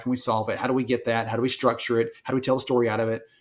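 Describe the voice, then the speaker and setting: A man at medium pitch with a strong Southern US accent. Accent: thick Southern US. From US South, small town. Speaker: HR industry analyst and author. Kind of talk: podcast interview.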